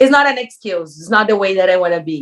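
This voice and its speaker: A woman with a Brazilian Portuguese accent. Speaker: reality TV contestant. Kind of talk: interview. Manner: animated.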